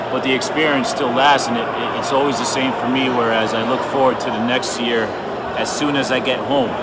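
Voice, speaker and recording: Loud background noise surrounds a man speaking at a moderate pace. The sound is dry with no echo. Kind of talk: casual vlog chat. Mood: relaxed, joking. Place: hall. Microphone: phone near.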